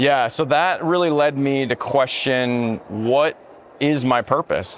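An ordinary speaking voice from a man, fairly high in pitch, with ordinary pitch variation and a fairly slow pace. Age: 30s. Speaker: military chaplain. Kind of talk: casual chat. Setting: conference floor.

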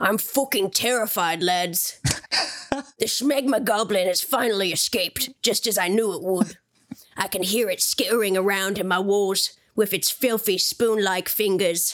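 A female-sounding voice at medium pitch puts on a character voice. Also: moderate pace. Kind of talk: casual, comic. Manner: terrified, panicked.

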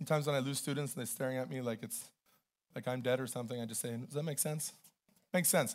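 Loud and at a very fast pace, the voice shows ordinary pitch variation. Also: man, medium pitch for a man. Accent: Canadian. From Canada. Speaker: pastor. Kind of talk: sermon. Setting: church.

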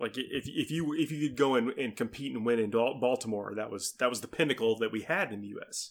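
A man with a normal speaking voice talks fairly quickly at a medium pitch, with ordinary pitch variation. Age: middle-aged. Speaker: podcaster, tabletop gamer. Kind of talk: casual chat.

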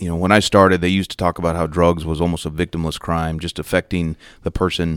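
A man with an American accent speaks at a very deep, low pitch in a monotone, flat intonation, in a very clean recording with a silent background. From New Mexico, near US-Mexico border. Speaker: federal drug agent. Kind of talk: interview.

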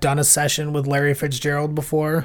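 Speaking in an American accent, a man with a fairly high pitch uses an ordinary speaking voice at a moderate pace on a very clean recording with a silent background. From Minnesota, Plymouth. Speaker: podcast guest, podcast co-host elsewhere. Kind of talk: casual chat.

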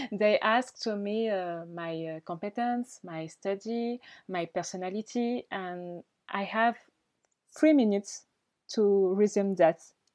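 Against a quiet background, a woman with a French accent talks at a fairly slow pace with ordinary pitch variation, the sound dry and close with no echo. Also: medium pitch for a woman. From Mayotte. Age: 20s. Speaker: beauty pageant winner. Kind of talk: interview. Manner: halting.

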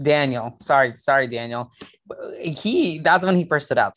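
Ordinary pitch variation from a man with an American accent. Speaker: Survivor fan co-commentator. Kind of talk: casual chat. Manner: animated, talking-head style.

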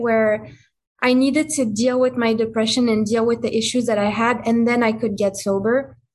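A woman's fairly high voice in a French accent, monotone and flat in intonation, at a moderate pace. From France. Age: 20s. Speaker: person in recovery, small business owner. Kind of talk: casual interview. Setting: video call.

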